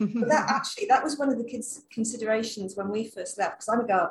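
The voice is somewhat breathy, in a London accent, with ordinary pitch variation. The pace is very fast. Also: woman. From London, England. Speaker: travel blogger. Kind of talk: casual interview chat.

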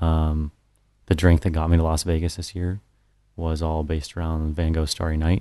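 An American man talks at a moderate pace in a very deep, low voice with a dark, mellow tone and monotone, flat intonation. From Colorado. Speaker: bar owner and bartender. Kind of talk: casual chat.

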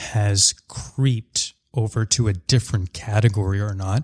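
In a very clean, dry, close recording with a silent background and no echo, a man with a Canadian accent speaks at a fairly slow pace, somewhat breathy, with ordinary pitch variation. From Canada, Surrey near Vancouver. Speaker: portfolio manager. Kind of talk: podcast interview.

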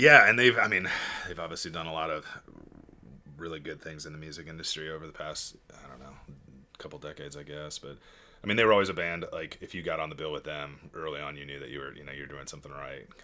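A man with a very deep, low pitch and a bright, sharp tone speaks at a very fast pace, yet leaves long, frequent pauses. His loudness swings widely while his pitch varies in an ordinary way. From Chicago. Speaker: entrepreneur. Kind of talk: casual chat.

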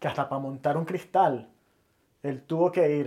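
A man speaks with a Venezuelan accent in a fairly high voice. His tone is dark and mellow, with ordinary pitch variation. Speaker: podcast co-host. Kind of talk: casual chat.

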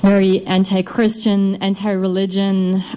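Against noticeable background noise, a woman speaks with a German accent. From East Germany. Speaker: wife of heart attack survivor. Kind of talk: testimony.

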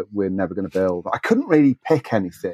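A man speaks with a British accent at a fairly low pitch. The sound is dry and close, with no echo. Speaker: scale modeler and blogger. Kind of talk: casual interview chat. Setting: remote call.

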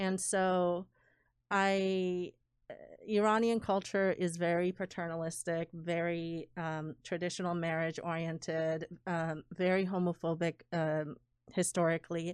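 On a very clean recording with a silent background, a woman speaks slowly-ish at a fairly slow pace, her fairly low pitch delivered in a monotone, flat intonation. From Iran. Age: 40s. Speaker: politician. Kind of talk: casual chat.

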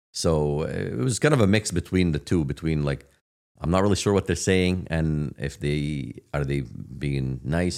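A man with an Arabic accent, a very deep, low pitch and ordinary pitch variation. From Palestine. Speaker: real estate agent. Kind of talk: casual chat. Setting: studio.

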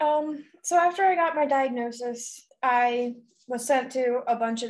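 With ordinary pitch variation, this woman's voice sits high. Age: 20s. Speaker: breast cancer survivor. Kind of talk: casual interview chat. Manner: calm, patient.

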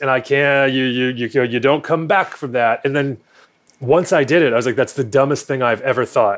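This man has an ordinary speaking voice with a fairly high pitch and talks at a moderate pace. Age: 30s. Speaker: math teacher and amateur drag queen. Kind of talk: casual chat.

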